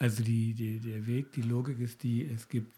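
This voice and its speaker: At a very slow pace, a man speaks at a medium pitch in a dark, mellow tone that is somewhat breathy. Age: 60s. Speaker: psychologist, podcast host. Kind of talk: casual conversation.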